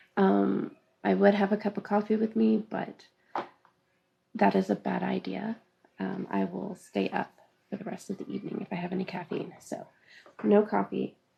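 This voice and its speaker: A soft-spoken woman mumbling at a moderate pace, with long, frequent pauses. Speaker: craft teacher. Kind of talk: live-streamed class, casual chat before start. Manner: soft-spoken, tends to mumble; hesitant, many fillers.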